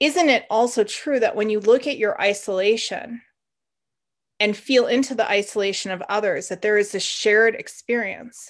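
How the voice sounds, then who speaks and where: A woman talks in a plain, everyday voice, fairly high in pitch with ordinary variation, at a moderate pace. The recording is very clean, with a silent background. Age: 40s. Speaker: meditation teacher and podcast host. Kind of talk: solo podcast talk with guided meditation. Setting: home meditation space.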